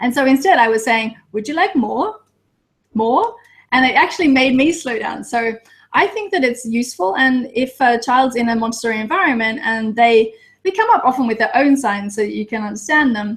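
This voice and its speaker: A high-pitched woman with an Australian accent, fairly quick, with lively intonation. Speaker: Montessori teacher. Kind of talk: casual chat. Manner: fast; animated.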